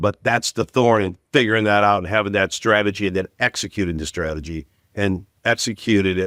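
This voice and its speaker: An ordinary speaking voice moves at a fairly quick pace with ordinary pitch variation, its sound dry and close with no echo. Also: man, fairly low pitch for a man. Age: 60s. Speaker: retail executive. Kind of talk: podcast interview.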